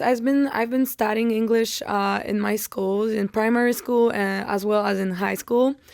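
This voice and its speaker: With a Polish accent and a fairly high pitch, a woman speaks at a moderate pace with fairly even intonation and hardly any pauses over noticeable background noise. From Poland, near Poznań. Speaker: college tennis player. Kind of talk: podcast interview.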